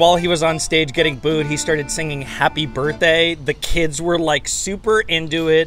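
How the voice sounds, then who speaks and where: The sound is dry with no echo, and faint music plays in the background. The pace is moderate. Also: man. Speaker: pop culture vlogger. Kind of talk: casual vlog chat. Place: street. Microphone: handheld.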